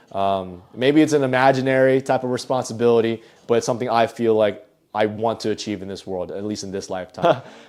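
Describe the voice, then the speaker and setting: An ordinary speaking voice from a man, medium-pitched and fairly quick, with fairly even intonation. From US East Coast. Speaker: entrepreneur. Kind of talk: casual vlog tour.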